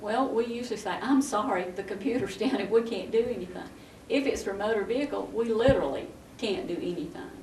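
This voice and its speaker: Speaking at a fairly quick pace, a woman with a fairly high pitch and lively intonation is heard amid noticeable background noise and audible room echo. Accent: Southern US. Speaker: county tax commissioner. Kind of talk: local TV interview.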